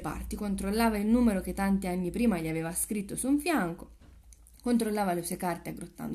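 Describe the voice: The text is read aloud plainly, with ordinary pitch variation.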